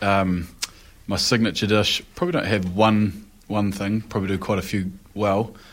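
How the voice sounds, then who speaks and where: A man speaks with a New Zealand accent at a moderate pace. His pitch is fairly low and his intonation fairly even. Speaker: professional rugby player. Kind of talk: casual chat.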